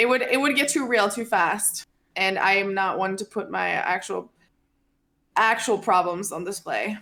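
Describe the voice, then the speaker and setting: Using ordinary pitch variation, a woman with a Norwegian accent talks at a moderate pace. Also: medium pitch for a woman. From Norway. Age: 20s. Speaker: streamer. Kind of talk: casual chat.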